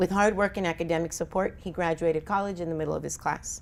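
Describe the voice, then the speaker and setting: A woman's very fast, monotone voice with flat intonation, fairly low pitch and vocal fry. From Colombia. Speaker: physician and addiction lecturer. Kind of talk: conference lecture. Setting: stage with audience.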